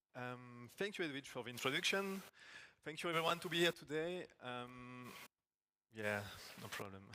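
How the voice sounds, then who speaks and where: A man with a French accent speaks at a moderate pace in a medium pitch, using a bright, sharp tone and lively intonation. He leaves long, frequent pauses, and audible room echo surrounds his voice. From France. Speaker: agile technical coach. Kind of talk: conference talk. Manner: halting.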